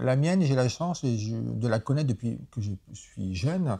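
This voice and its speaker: In a very clean recording with a silent background, a man speaks at a medium pitch with ordinary pitch variation. His tone is dark and mellow and somewhat breathy. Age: 40s. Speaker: animal rights activist. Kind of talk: interview. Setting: association offices in a city.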